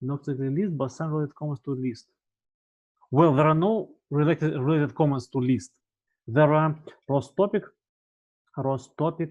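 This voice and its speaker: Pausing long and often, a man talks at a moderate pace and fairly high pitch with ordinary pitch variation. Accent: Russian. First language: Russian. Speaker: university lecturer. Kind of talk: tutorial. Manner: halting.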